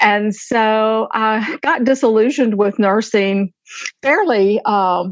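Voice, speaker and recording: Speaking at a very slow pace in an Alabama accent, a woman uses a fairly high pitch with ordinary pitch variation. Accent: Southern US (Alabama). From US South. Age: 60s. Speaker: retired nurse and author. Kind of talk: podcast interview.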